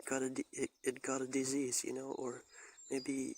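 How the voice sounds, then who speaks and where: Speaking at a medium pitch, this man has a non-native accent. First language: not English. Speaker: vlogger and bonsai hobbyist. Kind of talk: personal monologue. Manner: halting.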